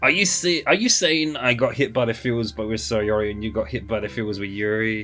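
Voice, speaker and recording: With music in the background, a man of medium pitch speaks at a fairly quick pace, with lively intonation and hardly any pauses. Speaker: streamer reacting to a visual novel. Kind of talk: reading game dialogue aloud with live reactions.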